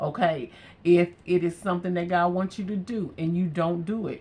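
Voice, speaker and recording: Here a woman has an unremarkable speaking voice with a fairly low pitch. She talks at a moderate pace. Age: 60s. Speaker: beauty vlogger. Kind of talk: casual chat. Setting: home. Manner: relaxed.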